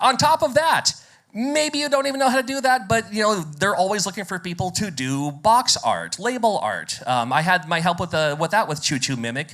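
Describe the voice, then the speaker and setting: A man with a high pitch, very wide pitch swings and an American accent. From United States. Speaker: game developer and radio presenter. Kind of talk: conference talk. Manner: fast.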